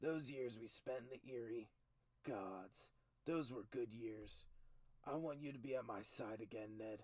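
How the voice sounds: The voice here is a natural reading voice. It reads the words aloud.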